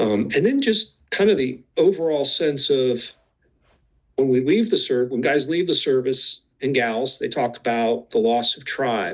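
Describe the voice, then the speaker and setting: A man with an unremarkable speaking voice talks at a fairly slow pace and medium pitch, his intonation lively. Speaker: clinical psychologist. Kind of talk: interview.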